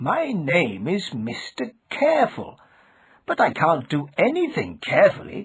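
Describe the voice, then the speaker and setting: A man puts on a character voice, pitched high and spoken at a fairly slow pace. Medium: read story. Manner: earnest, bewildered.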